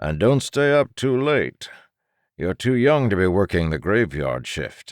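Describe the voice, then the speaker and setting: In a very clean recording with a silent background, a man puts on a character voice with very wide pitch swings. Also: medium pitch for a man, fairly slow pace. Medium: read story. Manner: dry, nonchalant.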